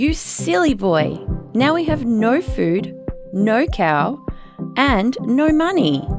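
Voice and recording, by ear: Over faint music in the background, a woman does a put-on character voice at a fairly high pitch, speaking slowly with big pitch swings.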